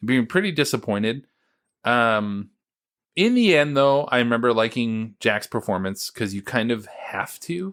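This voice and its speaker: The recording is very clean, with a silent background. A man with a normal speaking voice and an American accent talks at a fairly slow pace, his medium pitch carried by lively intonation. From United States. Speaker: podcast host. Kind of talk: casual chat.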